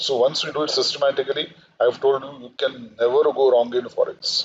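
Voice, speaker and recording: This is a man speaking. He has an Indian accent. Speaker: finance lecturer. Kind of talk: lecture. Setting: live online session.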